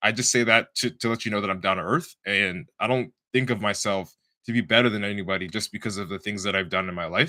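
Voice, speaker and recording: Bright and sharp in tone, a man's fairly low voice races at a very fast pace in a very clean recording with a silent background. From Canada, Toronto. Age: 20s. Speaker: bodybuilder and podcast host. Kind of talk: casual monologue on a live stream. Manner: animated.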